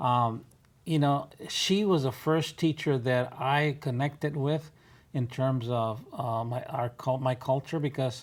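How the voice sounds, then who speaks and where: A man with an American accent speaks very slowly at a fairly high pitch, with ordinary pitch variation. The recording is very clean, the background silent. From West Texas. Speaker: retired educator, community volunteer. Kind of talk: interview. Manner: halting.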